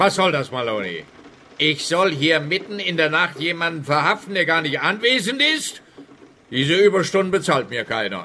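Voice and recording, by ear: Putting on a character voice, a man speaks at a moderate pace in a fairly high, bright, sharp tone with big pitch swings.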